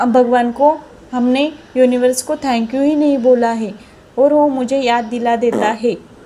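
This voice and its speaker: A woman's high-pitched voice with fairly even intonation over noticeable background noise. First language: Marathi (speaking Hindi). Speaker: viewer sharing a success story. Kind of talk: testimony. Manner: halting, repetitive.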